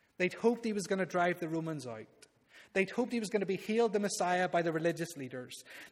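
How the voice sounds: Pitch varies by ordinary amounts as a natural reading voice goes on.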